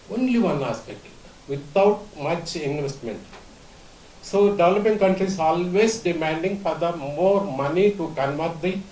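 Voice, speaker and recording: A man at a moderate pace with ordinary pitch variation, amid noticeable background noise and audible room echo. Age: 70s. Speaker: conference speaker. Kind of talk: conference talk. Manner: halting.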